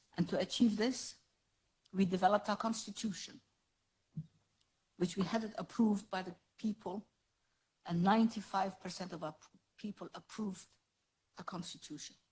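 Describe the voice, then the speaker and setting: Long, frequent pauses break up this somewhat breathy woman's speech. Her pitch varies in an ordinary way while her loudness swings widely. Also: medium pitch for a woman, moderate pace. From Somaliland. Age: 80s+. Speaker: politician. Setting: parliament chamber. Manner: formal.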